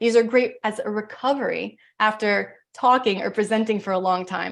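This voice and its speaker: Her pitch is fairly high. This woman's pitch moves in an ordinary way. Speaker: breathing coach. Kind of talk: presentation with guided breathing exercise. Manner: fast.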